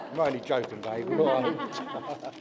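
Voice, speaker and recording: Over noticeable background noise and audible room echo, a man with a fairly high pitch speaks with ordinary pitch variation. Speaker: father of the bride. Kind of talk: wedding speech. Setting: wedding reception with audience.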